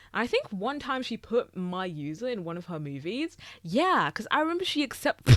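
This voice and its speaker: Speaking at a moderate pace with a British accent, a woman has a fairly high pitch. Both her pitch and her loudness swing widely, the pitch very much so. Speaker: YouTuber. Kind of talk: casual chat. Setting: recorded on camera. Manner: filler-heavy, rambling speech.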